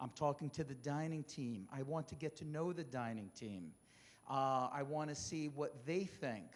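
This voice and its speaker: Moderate pace and ordinary pitch variation. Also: man, fairly high pitch for a man. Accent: New Jersey. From New Jersey. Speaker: senior care executive. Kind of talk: informal talk to residents.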